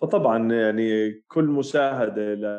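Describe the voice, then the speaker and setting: A man with a medium pitch speaks in a plain, everyday voice. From Jordan. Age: 30s. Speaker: psychiatrist. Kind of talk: interview.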